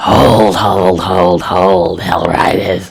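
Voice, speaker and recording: A put-on character voice from a man, raspy and hissing, very deep and low in pitch, with a monotone, flat intonation. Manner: menacing, commanding.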